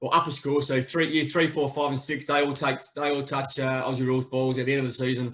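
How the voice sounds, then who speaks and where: A man rattles on at a very fast pace with hardly any pauses, his fairly high-pitched voice staying monotone and flat. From Australia, Adelaide. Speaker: amateur footy club member and PE teacher. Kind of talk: casual chat. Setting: video call.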